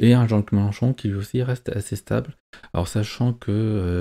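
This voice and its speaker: Fairly low in pitch, a man speaks at a fairly quick pace with fairly even intonation. His voice has a dark, mellow tone and a dry, close sound with no echo. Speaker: YouTuber commenting on polls. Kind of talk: video commentary on poll data. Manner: hesitant, many fillers.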